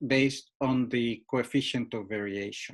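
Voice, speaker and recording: A man at a fairly slow pace with fairly even intonation, on a very clean recording with a silent background. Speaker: professor. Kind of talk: lecture. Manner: halting.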